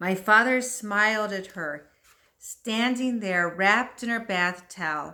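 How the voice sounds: Over a quiet background, a natural reading voice with ordinary pitch variation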